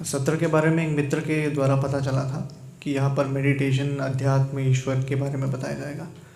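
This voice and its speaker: With hardly any pauses, a man talks at a moderate pace and a fairly high pitch, his intonation monotone and flat. Noticeable background noise and audible room echo are present. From Karnataka, India. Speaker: meditation retreat participant. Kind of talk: testimony.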